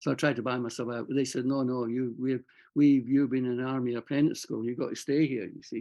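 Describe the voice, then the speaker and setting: A man with a Scottish accent. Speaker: army veteran and writer. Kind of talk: interview. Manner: halting.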